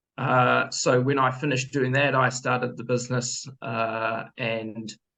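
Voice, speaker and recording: In a New Zealand accent, a man talks at medium pitch. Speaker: business owner, former accountant. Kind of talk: sales pitch.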